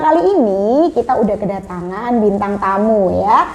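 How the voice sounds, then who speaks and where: The woman's pitch swings very widely while noticeable background noise runs behind her. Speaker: podcast host. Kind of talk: casual podcast chat; product promotion. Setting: studio. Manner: animated.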